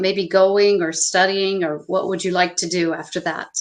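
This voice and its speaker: A woman's medium-pitched voice with a Midwestern US accent. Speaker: English tutor. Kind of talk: online language lesson.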